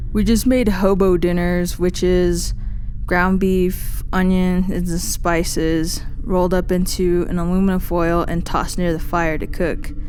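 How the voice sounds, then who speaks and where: Over noticeable background noise, a woman speaks at a fairly slow pace with medium pitch, a flat monotone intonation and very even loudness. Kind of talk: first-person true scary story telling.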